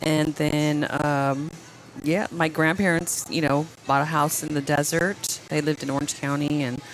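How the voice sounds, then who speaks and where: Music plays in the background as a woman speaks in a very deep, low voice with monotone, flat intonation. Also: moderate pace. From Southern California. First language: Spanish. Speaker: event planner. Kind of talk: casual chat. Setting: bar with live recording.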